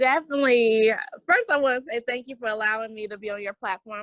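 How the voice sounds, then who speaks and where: With a Southern US accent, a woman talks at a very fast pace and fairly high pitch, in a dry, close sound with no echo. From US South, Greensboro, North Carolina. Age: 40s. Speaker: entrepreneur and podcast guest. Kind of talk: interview conversation. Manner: animated.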